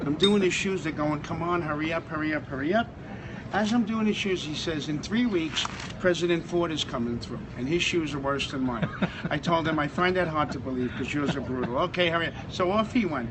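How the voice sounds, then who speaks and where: Over noticeable background noise, a fairly high-pitched man with an American accent talks at a fairly quick pace with ordinary pitch variation. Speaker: former firefighter and shoe shiner at an airport. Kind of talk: casual storytelling to camera.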